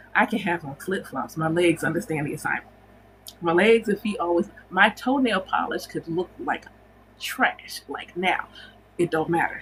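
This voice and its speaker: A woman at medium pitch, moderate pace, noticeable background noise behind her. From United States. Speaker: spiritual teacher and livestream host. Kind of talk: casual livestream chat. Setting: livestream.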